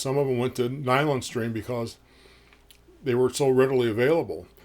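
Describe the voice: A man talks at a medium pitch. His intonation stays fairly even.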